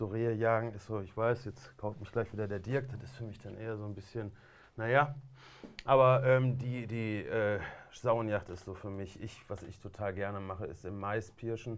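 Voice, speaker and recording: This man has an ordinary speaking voice at medium pitch, his intonation fairly even and his pace moderate. His loudness swings widely. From Essen, Ruhr area, Germany. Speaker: hunter and video show presenter. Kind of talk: casual chat. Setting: studio.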